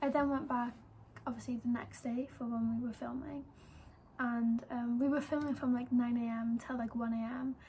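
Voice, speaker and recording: Here a woman speaks at a moderate pace in a high pitch. Her intonation stays monotone and flat. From Wales. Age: 18. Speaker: YouTuber and model. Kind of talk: casual vlog storytelling. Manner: chatty with many fillers.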